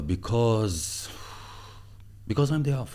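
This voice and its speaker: A man's dark, mellow voice with lively intonation and an Arabic accent. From Egypt. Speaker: entrepreneur and former marketing executive. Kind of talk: podcast interview. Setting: studio. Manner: animated.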